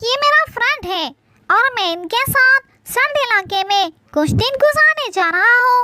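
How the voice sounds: An extremely high, cartoonish character voice moves at a moderate pace.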